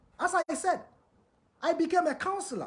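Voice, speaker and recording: This man talks at a moderate speed while noticeable noise runs behind him. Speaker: live show host and self-styled crown prince. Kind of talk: monologue on a livestream. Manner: repetitive, emphatic.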